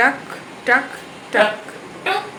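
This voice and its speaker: A soft-spoken woman talks amid noticeable background noise. Audible room echo surrounds her voice. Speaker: vlogger. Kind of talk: casual vlog talk. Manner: slow.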